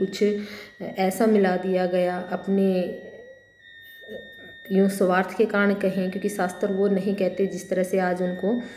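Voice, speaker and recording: In a Haryanvi accent, a woman speaks in a flat monotone, with audible room echo and noticeable background noise. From Haryana, India. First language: Haryanvi (speaking Hindi). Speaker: college lecturer. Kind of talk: lecture. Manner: halting, many fillers.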